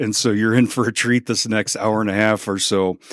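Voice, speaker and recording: With an American accent, a man speaks in a fairly low, monotone, flat voice at a moderate pace, on a very clean recording with a silent background and a dry, close sound with no echo. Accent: Chicago accent, returns when visiting. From Chicago. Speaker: podcast host. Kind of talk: podcast interview.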